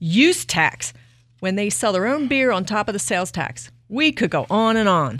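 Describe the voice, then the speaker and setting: Her medium-pitched voice moves in very wide pitch swings on a very clean recording with a silent background. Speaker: podcast co-host. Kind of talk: casual chat.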